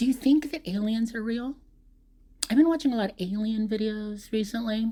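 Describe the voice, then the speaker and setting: This voice has a dark, mellow tone, comes across somewhat breathy, and moves at a moderate pace with ordinary pitch variation. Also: woman, fairly high pitch for a woman. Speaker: vlogger. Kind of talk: casual monologue. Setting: voice recording, off camera. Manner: rambling with hesitations.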